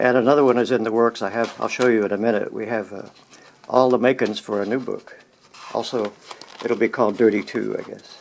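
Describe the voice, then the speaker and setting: A man with an American accent, medium pitch, fairly quick pace and monotone, flat intonation, amid noticeable background noise. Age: 70s. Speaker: photographer and collage artist. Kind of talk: casual home tour talk. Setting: indoors at home studio.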